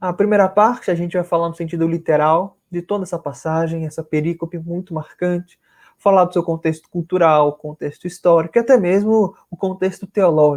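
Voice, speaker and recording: Speaking in a northern Brazilian accent, a man talks fairly quickly at a high pitch with fairly even intonation, and the sound is dry and close with no echo. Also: hardly any pauses. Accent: northern Brazilian, rolled R and hissing S. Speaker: spiritist lecturer. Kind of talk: religious lecture. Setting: live stream video call. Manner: formal.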